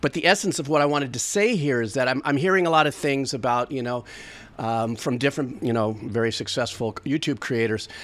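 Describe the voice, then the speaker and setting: A man's medium-pitched voice at a fairly quick pace, with ordinary pitch variation. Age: 60s. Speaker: music reaction streamer; music reaction youtuber. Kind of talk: casual monologue to camera; casual vlog chat. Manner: rambling, stream of consciousness. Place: home room. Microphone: studio mic.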